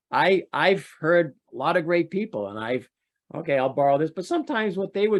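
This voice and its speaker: This is a man speaking. His intonation is lively. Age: 60s. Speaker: trauma survivor and trauma expert. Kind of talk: testimony. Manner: halting.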